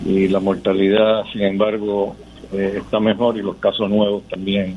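Noticeable background noise sits behind a man whose fairly low voice stays in a monotone, flat intonation. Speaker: oncologist surgeon giving Covid update. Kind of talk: medical update. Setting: phone call, noisy background.

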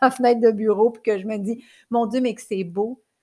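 A woman speaks with fairly even intonation. The recording is very clean, with a silent background. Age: 40s. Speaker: life coach and podcaster. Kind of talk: personal monologue. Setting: recording at her computer.

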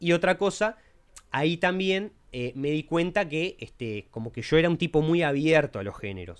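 Using an unremarkable speaking voice, a man talks at a moderate pace and fairly high pitch with lively intonation. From Uruguay (Montevideo). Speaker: podcast co-host, lawyer. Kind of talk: casual chat.

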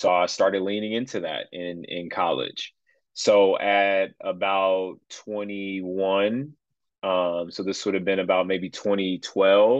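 Speaking very slowly in an American accent, a man has a fairly low pitch. His intonation is fairly even. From Chicago area. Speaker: pastor. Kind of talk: casual chat. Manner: halting, with many fillers.

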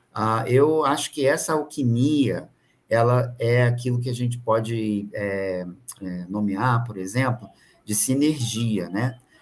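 A man at a medium pitch talks at a very slow pace. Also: ordinary pitch variation. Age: 50s. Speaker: business mentor. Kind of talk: casual chat.

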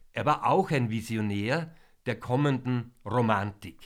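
On a very clean recording with a silent background, a man speaks very slowly with lively intonation. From Vienna, Austria. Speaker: concert introducer / music presenter. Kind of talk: pre-concert talk to an audience. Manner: formal.

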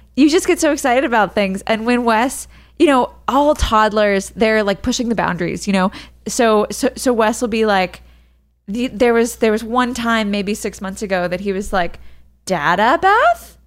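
A woman with a normal speaking voice talks at a moderate pace, with a fairly high pitch and lively intonation. The recording is very clean, with a silent background. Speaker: podcast host and mother. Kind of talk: casual chat.

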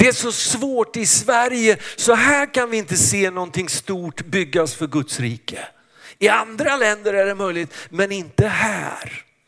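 Lively in intonation, a man speaks high-pitched at a fairly slow pace. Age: 60s. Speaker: pastor. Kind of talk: sermon.

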